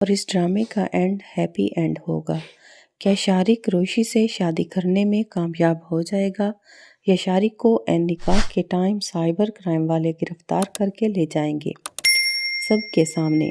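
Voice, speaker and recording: The tone is dark and mellow, the intonation fairly even, and the sound dry and close with no echo. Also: woman, medium pitch for a woman. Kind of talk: drama plot review voice-over.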